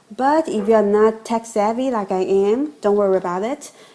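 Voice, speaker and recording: This voice has a dark, mellow tone and a non-native accent. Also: woman. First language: not English. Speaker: course customer giving testimonial. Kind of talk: testimonial.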